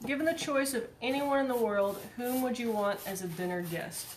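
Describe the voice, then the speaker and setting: A soft-spoken woman with lively intonation, some audible room echo and noticeable background noise. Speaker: vlogger. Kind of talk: casual chat. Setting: garage. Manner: halting.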